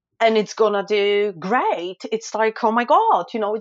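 With a Polish accent, a woman speaks at a fairly high pitch. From Poland. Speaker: food photographer and blogger. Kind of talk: casual interview.

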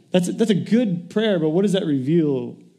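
Lively intonation in a dark, mellow tone, with audible room echo. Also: man. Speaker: pastor. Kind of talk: sermon. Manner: animated.

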